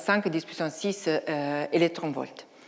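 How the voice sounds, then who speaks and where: A woman with an Italian accent, a fairly low pitch and a very slow pace. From Italy. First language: Italian (speaking French). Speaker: astrophysicist, research director. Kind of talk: lecture. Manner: halting, many hesitations.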